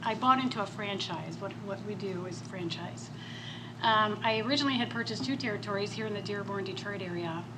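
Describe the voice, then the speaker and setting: A soft-spoken woman talks at medium pitch and a fairly quick pace, with ordinary pitch variation. Room echo is audible, and background noise is noticeable. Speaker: business owner. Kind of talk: panel talk. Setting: stage with audience.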